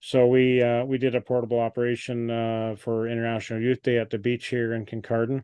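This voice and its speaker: With a Canadian accent, a man speaks at a fairly quick pace and medium pitch in monotone, flat intonation. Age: 60s. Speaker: amateur radio operator. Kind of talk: club presentation Q&A. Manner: halting, many fillers.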